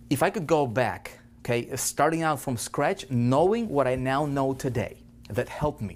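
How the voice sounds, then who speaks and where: At a moderate pace, a man with a non-native accent talks in an animated tone with lively intonation. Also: very clean recording, silent background. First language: not English. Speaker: online marketing coach. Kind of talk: training lecture. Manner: repetitive filler okay.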